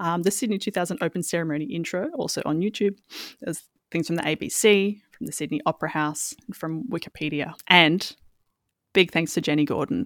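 With an Australian accent, a woman talks at a fairly quick pace with lively intonation and a fairly low pitch. The recording is very clean, with a silent background. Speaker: podcast co-host. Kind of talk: casual chat.

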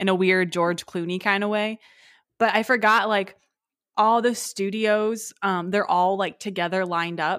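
Here a woman talks in an ordinary speaking voice, pitched in the medium range. She keeps a moderate pace with fairly even intonation. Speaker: podcast host. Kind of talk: casual chat. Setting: remote recording over video call.

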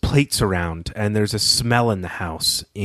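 Pitch variation is ordinary. The style is plain reading aloud.

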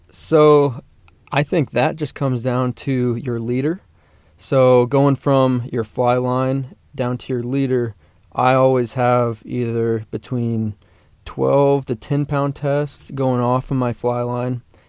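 At a very slow pace, a man with a medium pitch speaks in a monotone, flat intonation. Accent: American. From Colorado (Parker, near Denver). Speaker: university fishing club officer. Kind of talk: casual chat.

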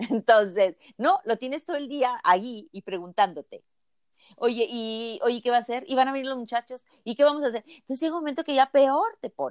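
This woman's fairly high voice moves along at a fairly quick pace. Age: 60s. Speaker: physician and healer. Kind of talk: interview.

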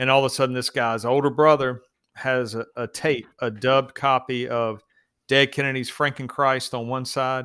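In a very clean recording with a silent background, a man with an American accent talks at a medium pitch with fairly even intonation. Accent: Southern US, twangy, toned down for the show. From US South. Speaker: police officer. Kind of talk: casual chat. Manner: storytelling, a bit silly.

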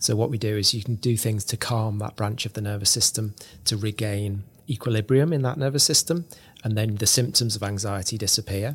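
Somewhat breathy, a man speaks at a fairly quick pace with medium pitch and ordinary pitch variation. The recording is very clean, with a silent background. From northern England. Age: 40s. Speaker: author. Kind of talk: interview. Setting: studio.

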